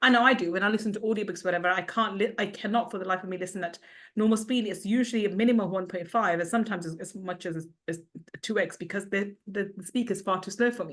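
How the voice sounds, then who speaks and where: A woman speaks at a medium pitch. Her pace is very fast. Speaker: podcast host. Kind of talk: interview. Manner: speeds up when excited.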